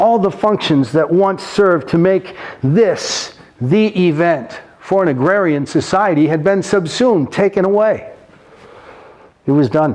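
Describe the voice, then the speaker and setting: Noticeable background noise sits behind a man who talks at a fairly slow pace with very even loudness. His voice is high in pitch, with ordinary pitch variation. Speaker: professional clown and storyteller. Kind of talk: casual talk to camera.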